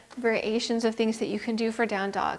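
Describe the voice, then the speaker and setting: The voice is an ordinary speaking voice. It moves along at a fairly quick pace. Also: woman. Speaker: yoga instructor. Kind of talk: yoga class instruction. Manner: calm, instructional, guiding.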